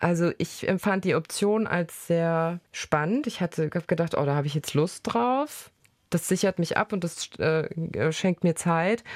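In a plain, everyday voice, a woman speaks at a fairly slow pace with a fairly low pitch, ordinary pitch variation and very even loudness. The recording is very clean with a silent background and a dry, close sound with no echo. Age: 30s. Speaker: journalist and podcast host. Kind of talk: casual conversation and reportage narration. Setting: in a car.

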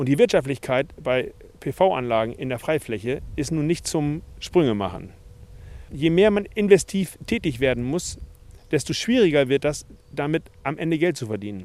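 A man's fairly high voice with very wide swings in pitch. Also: moderate pace. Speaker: farmer. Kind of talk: interview.

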